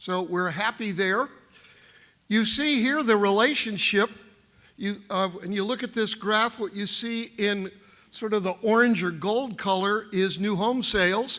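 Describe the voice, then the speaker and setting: Using a raised, projected voice, a man with a high pitch and a bright, sharp tone speaks at a fairly slow pace with ordinary pitch variation. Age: 70s. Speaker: economist. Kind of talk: keynote speech. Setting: stage with audience.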